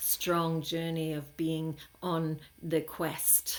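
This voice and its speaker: A woman's fairly low-pitched voice. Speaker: spiritual teacher. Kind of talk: spiritual monologue. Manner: halting, many fillers.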